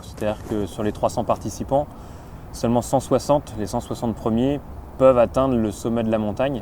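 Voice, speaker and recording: This man has a plain, everyday voice at a medium pitch, talking at a moderate pace with fairly even intonation. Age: 30s. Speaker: sports coach and triathlete. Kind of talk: documentary interview.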